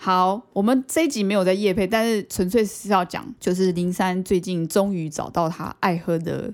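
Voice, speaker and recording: A woman with a normal speaking voice talks at a medium pitch and moderate pace, with ordinary pitch variation, hardly any pauses and a very clean recording with a silent background. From Taiwan, Banqiao (New Taipei). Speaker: podcast co-host. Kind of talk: casual chat.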